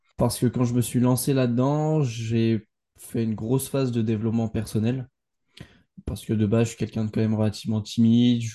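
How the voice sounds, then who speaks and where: A man's fairly quick, flat, monotone delivery at a medium pitch, dark and mellow in tone. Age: 20s. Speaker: entrepreneur and podcaster. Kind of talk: casual chat.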